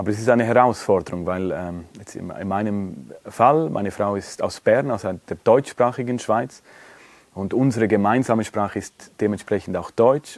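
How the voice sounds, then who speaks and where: A man speaks with a Swiss accent and ordinary pitch variation. His loudness swings widely. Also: fairly low pitch for a man, moderate pace. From Romansh-speaking Switzerland. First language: Romansh (speaking Dutch). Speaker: interviewee, Romansh speaker. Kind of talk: interview.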